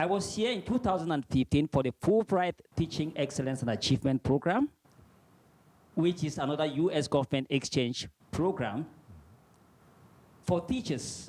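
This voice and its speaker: A man's fairly high voice in a Cameroonian accent, with lively intonation and long, frequent pauses. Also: moderate pace, dry, close sound with no echo. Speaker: visiting Fulbright scholar, teacher. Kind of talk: presentation. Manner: formal.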